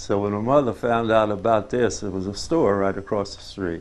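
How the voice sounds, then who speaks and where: Here a man speaks with a Southern US accent and a fairly low pitch. His pace is moderate and his intonation fairly even. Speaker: family elder interviewee. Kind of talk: oral history interview. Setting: on a farm.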